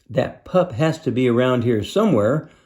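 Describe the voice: Using a gruff, put-on character voice, a man talks at a medium pitch and a moderate pace.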